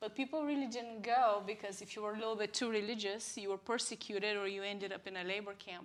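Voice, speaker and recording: Speaking with a Bulgarian accent, a woman with a fairly high pitch goes at a very fast pace with hardly any pauses and fairly even intonation. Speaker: church member sharing testimony. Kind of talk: testimony. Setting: live church broadcast.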